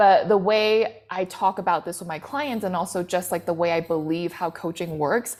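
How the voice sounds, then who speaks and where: This woman talks at a moderate pace, with ordinary pitch variation, as music plays in the background. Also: medium pitch for a woman, hardly any pauses. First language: not English. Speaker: business coach. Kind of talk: interview. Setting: live stream.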